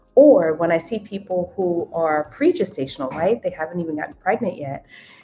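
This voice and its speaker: Over music in the background, a woman with an American accent and a fairly low pitch speaks at a fairly quick pace with lively intonation. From New York City (Queens). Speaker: OB-GYN physician. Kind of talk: podcast interview.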